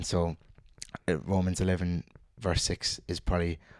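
With a Cork accent, a man speaks at a fairly quick pace in a very deep, low pitch and monotone, flat intonation, on a very clean recording with a silent background. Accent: Cork Irish. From Ireland, Cork. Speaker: lab scientist. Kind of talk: casual chat.

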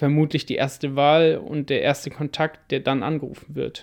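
A man speaks in an ordinary speaking voice at a moderate pace. His pitch is fairly high, and the background is quiet. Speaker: podcast co-host, student entrepreneur. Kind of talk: casual chat.

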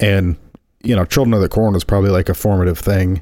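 With an American accent, the speaker talks at a very fast pace in a dark, mellow tone and fairly even intonation. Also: man. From rural Indiana. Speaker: podcast co-host, video producer. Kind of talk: casual chat.

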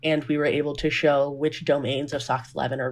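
With an American accent, a woman speaks at a moderate pace, her very deep, low pitch carrying vocal fry. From US South, Georgia (Grayson). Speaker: neuroscience postdoctoral researcher. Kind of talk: casual interview.

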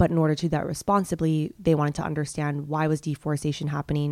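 The speaker talks at a very fast pace in a monotone, flat intonation. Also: woman. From Hong Kong. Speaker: honey entrepreneur. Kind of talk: interview.

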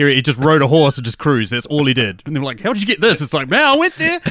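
A man with a New Zealand accent, talking very fast in a bright, sharp tone, on a very clean recording with a silent background. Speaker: movie podcaster. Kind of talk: casual chat.

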